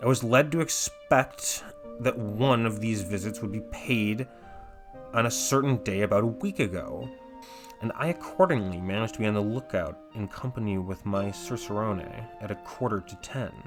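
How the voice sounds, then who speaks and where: A man talks with lively intonation at a medium pitch and moderate pace while music plays in the background. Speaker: audiobook narrator. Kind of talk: horror audiobook reading.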